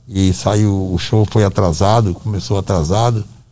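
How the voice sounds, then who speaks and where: Slowly, though not very, a man speaks in a dark, mellow tone. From Brazil, Northeast (Ceará). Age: 70s. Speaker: musician's father. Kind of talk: casual chat. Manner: halting.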